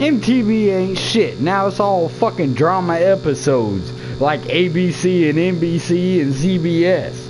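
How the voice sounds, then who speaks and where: Amid noticeable background noise and audible room echo, a man with an American accent speaks at a fairly slow pace and high pitch, with ordinary pitch variation, very even loudness and hardly any pauses. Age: 30s. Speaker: gamer streamer. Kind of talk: casual chat. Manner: animated.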